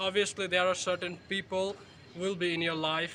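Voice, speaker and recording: A man's high-pitched voice amid noticeable background noise. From Bangladesh. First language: Bengali. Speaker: vlogger. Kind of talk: vlog monologue. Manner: halting, many fillers.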